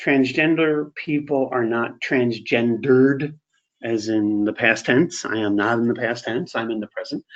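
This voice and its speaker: Here is a man with an ordinary speaking voice at a medium pitch. He talks at a fairly slow pace. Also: ordinary pitch variation. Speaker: webinar presenter on LGBTQ workplace inclusion. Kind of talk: webinar presentation. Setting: online webinar.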